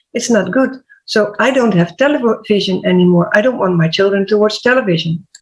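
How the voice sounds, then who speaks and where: A woman with a Dutch accent speaks at a fairly quick pace and medium pitch, with ordinary pitch variation. Her loudness stays very even. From Netherlands. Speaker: HR/PR coach and health podcaster. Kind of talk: panel discussion.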